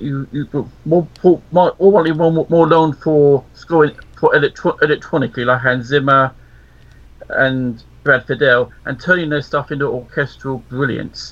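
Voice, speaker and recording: A man with a southern English accent speaks with big swings in loudness and fairly even intonation. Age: 50s. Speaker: radio co-host. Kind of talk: casual chat. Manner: halting.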